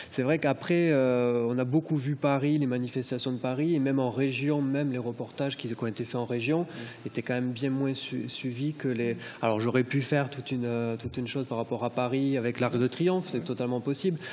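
Fairly even intonation and a fairly quick pace from a man. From Corbières, southern France; France. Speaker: photojournalist. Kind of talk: round table presentation. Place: hall. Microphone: podium.

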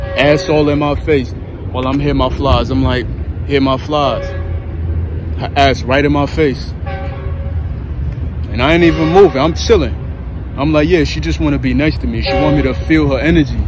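A man speaks at a moderate pace, with long, frequent pauses. The sound is dry with no echo, and music plays clearly in the background. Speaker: lifestyle vlogger. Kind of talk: casual vlog chat. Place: street. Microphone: earbuds.

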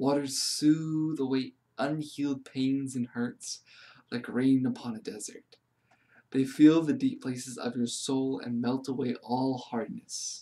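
Quiet and gentle in tone, a man with a dark, mellow tone talks at a fairly slow pace with ordinary pitch variation. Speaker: meditation guide reading aloud. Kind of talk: guided meditation read from a book. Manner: slow, calm, soothing; gentle, hushed, with pauses. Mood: calm, soothing. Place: home room. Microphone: phone near.

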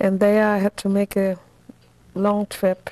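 A woman speaks fairly slowly in a dark, mellow tone. The sound is dry with no echo. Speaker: interviewee. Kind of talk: interview answer. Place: home room. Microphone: lapel.

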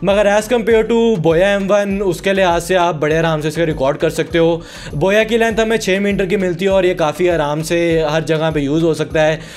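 A high-pitched male voice at very even loudness, with music in the background. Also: ordinary pitch variation, moderate pace. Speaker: tech youtuber. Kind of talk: product review.

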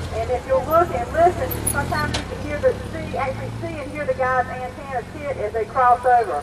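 The speech moves at a fairly quick pace. There is noticeable background noise behind it. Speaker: drill team narrator. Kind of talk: live commentary. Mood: excited, laughing. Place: street.

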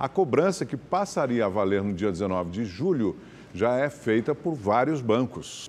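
A man talks at a fairly slow pace and medium pitch. His pitch swings very widely. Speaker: news anchor. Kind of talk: news reading. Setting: studio.

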